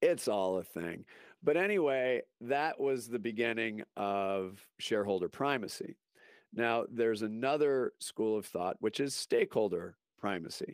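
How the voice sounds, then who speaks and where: A man's medium-pitched voice with lively intonation at a fairly slow pace, in a very clean recording with a silent background and a dry, close sound with no echo. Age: 50s. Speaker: marketing consultant and former radio producer. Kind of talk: interview. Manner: hesitant, many fillers.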